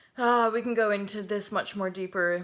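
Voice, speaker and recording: A woman with a Canadian accent speaks with fairly even intonation. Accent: Canadian, heard as American by Brits. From Canada. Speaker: spiritual life coach. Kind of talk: live chat answering viewer comments. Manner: casual, rambling with many fillers.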